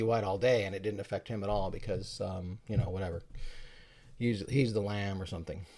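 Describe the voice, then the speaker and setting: A man's voice shows ordinary pitch variation while he talks at a fairly quick pace. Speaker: YouTuber. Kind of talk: casual talk to camera. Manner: fast.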